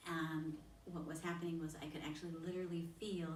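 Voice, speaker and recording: A soft-spoken woman's very deep, low voice, monotone and flat, at a moderate pace amid noticeable background noise and audible room echo. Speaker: spiritual channeler. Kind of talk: group discussion. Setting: on location in Egypt.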